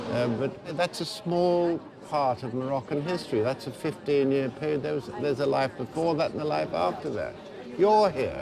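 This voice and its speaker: The pace is moderate, with ordinary pitch variation. Noticeable background noise is present. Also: man, fairly high pitch for a man. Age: 60s. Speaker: expatriate local resident. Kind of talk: casual conversation.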